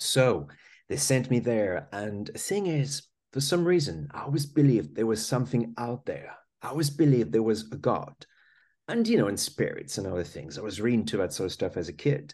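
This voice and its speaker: A man with a French accent talks at a fairly quick pace, his medium pitch swinging very widely. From France. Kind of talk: casual interview conversation.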